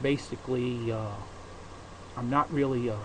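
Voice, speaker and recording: Speaking with an American accent, a man keeps a moderate pace and medium pitch. His intonation is fairly even, and background noise is noticeable. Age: 50s. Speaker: podcaster. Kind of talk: casual monologue. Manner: halting.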